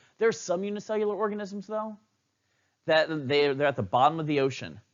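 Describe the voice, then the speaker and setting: A high-pitched man at a fairly quick pace, animated in tone, with lively intonation. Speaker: biology teacher. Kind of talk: lecture. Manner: fast.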